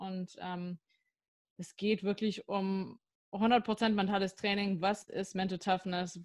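The recording is very clean with a silent background. A woman speaks at a medium pitch and a fairly slow pace with fairly even intonation. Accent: American. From US, near Washington DC. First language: English (speaking German). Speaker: sport psychologist and neuroscientist. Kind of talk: podcast interview.

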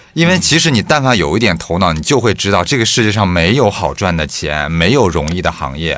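With hardly any pauses, a man speaks in a very deep, low pitch that moves in very wide swings. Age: 30s. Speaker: podcast co-host. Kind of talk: casual chat.

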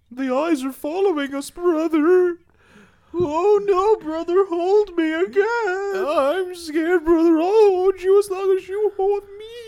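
The voice sits at an extremely high pitch and moves at a fairly slow pace. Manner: excitable, goofy, over-the-top.

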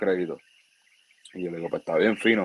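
This is a man speaking. He has a Puerto Rican accent. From Puerto Rico. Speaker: baseball player. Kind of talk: interview.

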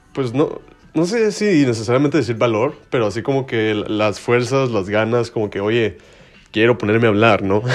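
A man with a Mexican accent talks at a moderate pace, his medium pitch showing ordinary variation. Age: 20s. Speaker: podcast host. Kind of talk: casual monologue. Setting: bedroom. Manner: informal slangy.

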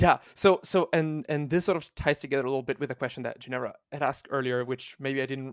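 A man with an Italian accent, fairly high-pitched and fairly quick, in a dry, close recording with no echo, very clean with a silent background. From Italy. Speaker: volunteer translation team lead. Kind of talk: interview.

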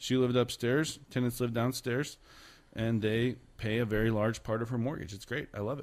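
Keeping his intonation fairly even, a man with an ordinary speaking voice talks in a medium pitch at a moderate pace. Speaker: real estate agent and podcast host. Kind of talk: casual podcast hosting. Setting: studio.

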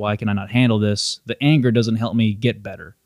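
Over a very clean recording with a silent background, a man in a normal speaking voice talks at a fairly quick pace with fairly even intonation. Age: 30s. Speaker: jiu-jitsu practitioner. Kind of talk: casual chat.

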